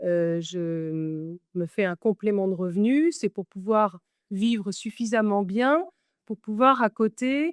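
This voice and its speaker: Very slowly and with lively intonation, a woman speaks at a medium pitch, the sound dry and close with no echo and a quiet background. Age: 60s. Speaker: model and content creator. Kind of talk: interview.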